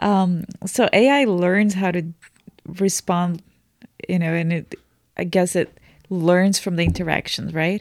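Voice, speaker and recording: The speaker, in a Portuguese accent, goes at a fairly slow pace with fairly even intonation and long, frequent pauses. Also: woman, fairly low pitch for a woman. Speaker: translator. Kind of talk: casual chat.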